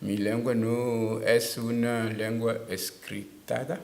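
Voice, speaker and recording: A man with a Togolese accent speaks at a medium pitch and a very slow pace. Audible room echo surrounds his voice. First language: Tem (speaking Spanish). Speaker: writer. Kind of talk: interview. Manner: halting.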